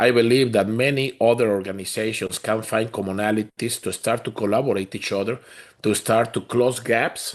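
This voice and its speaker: Medium pitch for a man, in a Spanish accent, with ordinary pitch variation and a moderate pace. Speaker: community organization leader. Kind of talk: town hall panel discussion.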